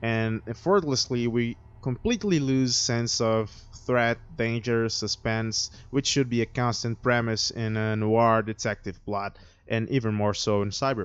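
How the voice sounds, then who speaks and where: With a non-native accent, a man talks at a moderate pace with fairly even intonation. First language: not English. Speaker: video critic. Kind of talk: video review monologue.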